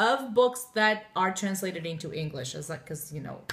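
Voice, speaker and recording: Over noticeable background noise, a woman with a Portuguese accent talks at a moderate pace, her pitch fairly low and her intonation lively. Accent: Portuguese, often taken for French Canadian. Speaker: book blogger. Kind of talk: casual chat.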